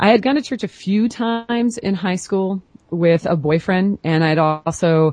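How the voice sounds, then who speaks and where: Here a woman talks at a moderate pace in an ordinary speaking voice. Her intonation is lively. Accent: American. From US Pacific Northwest, Portland, Oregon. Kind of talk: interview.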